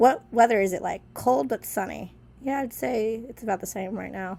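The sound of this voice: A woman speaks at a fairly slow pace in a slightly mellow tone. Vocal fry shows in her voice.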